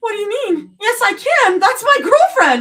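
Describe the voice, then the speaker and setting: A woman does a squeaky, put-on character voice at an extremely high pitch. She swings her pitch very widely and keeps a moderate pace. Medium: read story. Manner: frantic, pleading.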